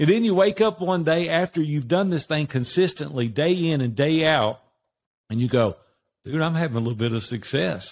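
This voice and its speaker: A man with a Southern US accent speaks at a moderate pace with a fairly high pitch and lively intonation. The recording is very clean, with a silent background. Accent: Southern American. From US South, Nashville, Tennessee. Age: 60s. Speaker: business coach. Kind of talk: interview.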